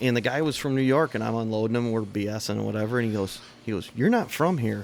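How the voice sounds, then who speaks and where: A man with a Michigan accent talks at a very fast pace with ordinary pitch variation. Background noise is noticeable. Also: medium pitch for a man. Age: 40s. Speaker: podcast co-host, car enthusiast. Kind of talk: casual chat.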